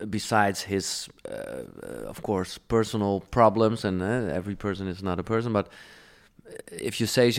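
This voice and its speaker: Someone speaks with a Dutch accent and fairly even intonation. The recording is very clean, with a silent background. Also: man. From Netherlands. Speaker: radio DJ and podcast host. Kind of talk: interview.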